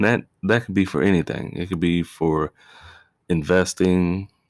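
A man's very deep, low voice with fairly even intonation, dry and close with no echo, on a very clean recording with a silent background. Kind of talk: solo podcast monologue. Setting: home recording with fireworks in background. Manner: casual, conversational.

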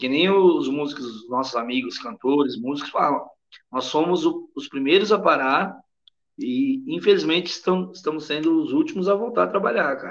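His pitch is high for a man and swings very widely. The man keeps a moderate pace. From Brazil. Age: 40s. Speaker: sertanejo singer. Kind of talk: casual interview.

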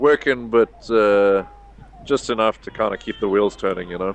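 A man talks at a moderate pace in a medium pitch, with ordinary pitch variation. The sound is dry and close with no echo, though background noise is noticeable. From South Africa, Cape Town. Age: 30s. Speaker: yacht crew member. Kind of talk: casual interview.

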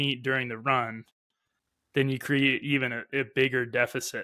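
On a very clean recording with a silent background, a man speaks at a medium pitch with a bright, sharp tone. His intonation is fairly even and his pace moderate. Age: 30s. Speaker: podcast host and ultrarunner. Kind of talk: interview.

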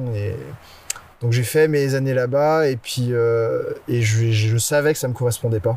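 A man talks at a very slow pace at medium pitch with fairly even intonation. There is noticeable background noise. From Brittany, France. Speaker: photographer and videographer. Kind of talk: casual interview. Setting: outdoors in a forest.

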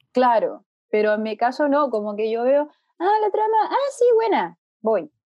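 High in pitch, a woman with a Chilean accent makes very wide pitch swings. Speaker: technology journalist. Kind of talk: casual chat. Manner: fast.

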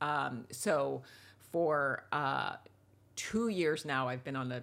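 With an American accent, a woman speaks in a very deep, low pitch. Vocal fry runs through her voice. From New York. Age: 60s. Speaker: television writer and author. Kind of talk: interview conversation.

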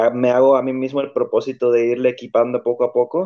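This man has a medium-pitched voice with a dark, mellow tone. He talks at a fairly quick pace. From Tijuana, Mexico. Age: 30s. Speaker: podcast guest. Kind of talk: casual chat.

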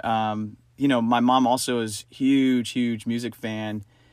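A man with an American accent speaks very slowly at a medium pitch in a monotone, flat way, on a very clean recording with a silent background. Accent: sometimes taken for a New Yorker. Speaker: podcast co-host. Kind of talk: casual chat.

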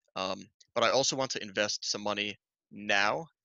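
Using a plain, everyday voice, a man with an American accent speaks at a fairly low pitch with ordinary pitch variation. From northern New Jersey. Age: 20s. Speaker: high school biology teacher. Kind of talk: casual chat.

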